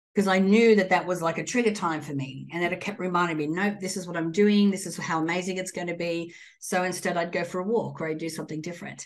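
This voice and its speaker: Fairly low-pitched, a woman speaks at a fairly quick pace with fairly even intonation. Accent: Australian. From Australia. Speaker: entrepreneur and guest. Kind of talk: interview chat.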